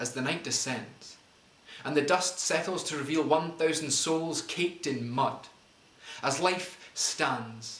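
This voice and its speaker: In a Scottish accent, the speaker goes at a very slow pace with ordinary pitch variation, against noticeable background noise. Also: man, fairly high pitch for a man. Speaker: poet. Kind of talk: spoken word poetry performance.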